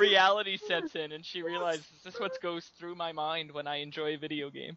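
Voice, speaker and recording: This man has a Canadian accent and a high pitch. He moves at a fairly quick pace with fairly even intonation. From Canada. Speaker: podcast co-host. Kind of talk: casual chat.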